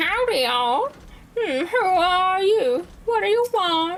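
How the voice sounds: A female-sounding voice, pitched extremely high, performs a put-on character with a Southern accent. The delivery comes at a fairly slow pace.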